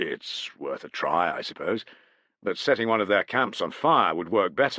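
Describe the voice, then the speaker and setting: Against a quiet background, a man puts on a gruff character voice and speaks at a moderate pace. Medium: read story. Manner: matter-of-fact, gruff.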